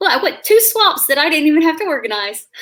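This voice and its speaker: A woman with a Southern US accent speaks in a bright, sharp tone, her pitch swinging very widely. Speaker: YouTuber hosting a live stream. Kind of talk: casual chat. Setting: online live stream.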